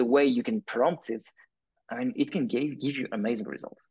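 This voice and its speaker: Lively intonation marks this man's speech. He talks at a medium pitch and a moderate pace. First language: not English. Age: young. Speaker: visual effects artist and entrepreneur. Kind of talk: interview. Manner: hesitant, many fillers.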